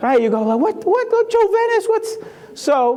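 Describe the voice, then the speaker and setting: Noticeable background noise sits under this recording. A man talks in a Spanish accent. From Puerto Rico. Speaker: keynote speaker. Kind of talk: keynote talk. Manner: animated.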